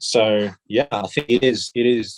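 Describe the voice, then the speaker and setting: The sound is dry and close with no echo as a man with an Australian accent speaks in a fairly low pitch. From South Korea, raised partly in Australia. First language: Korean. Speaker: fashion brand CEO and designer. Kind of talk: interview. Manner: hesitant, repeats words.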